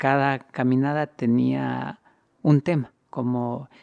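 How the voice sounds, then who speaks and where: The man's medium-pitched voice comes through as a dry, close sound with no echo. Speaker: walking artist. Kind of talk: interview testimony.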